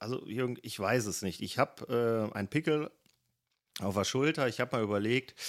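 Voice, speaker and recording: A man's voice with ordinary pitch variation on a very clean recording with a silent background. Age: 30s. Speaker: marksmen's club member and waste management manager. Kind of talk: interview. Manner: hesitant, many filler sounds.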